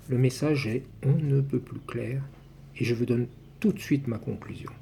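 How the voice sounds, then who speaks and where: A man's medium-pitched, somewhat breathy voice with a dark, mellow tone and ordinary pitch variation. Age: 60s. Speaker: numerology commentator. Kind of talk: personal video monologue.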